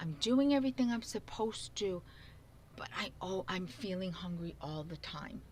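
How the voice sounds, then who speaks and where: With a strong New York accent, a woman speaks somewhat breathily at a moderate pace, her pitch swinging very widely. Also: medium pitch for a woman. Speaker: talk show co-host. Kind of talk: casual chat.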